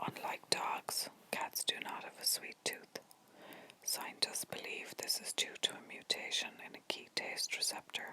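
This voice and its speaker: Whispering at a fairly slow pace. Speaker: ASMR content creator. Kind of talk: ASMR whispered facts video to help viewers sleep. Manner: whispered, soft, relaxing.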